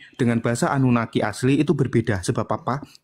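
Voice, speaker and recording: A man with a medium pitch talks very fast. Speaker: debate participant. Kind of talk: heated debate.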